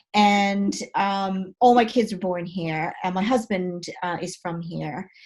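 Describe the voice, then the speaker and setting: An American accent from a woman, the recording very clean and the background silent. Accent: American accent shifted toward British. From United States. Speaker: blogger and marketing speaker. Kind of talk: talk Q&A. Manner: hesitant, many fillers.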